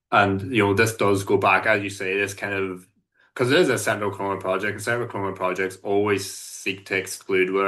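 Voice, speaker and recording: A man with a Northern Irish accent, fairly low-pitched, with a bright, sharp tone against a quiet background. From Northern Ireland. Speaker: solidarity activist and sports coach. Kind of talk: podcast interview. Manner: halting, many fillers.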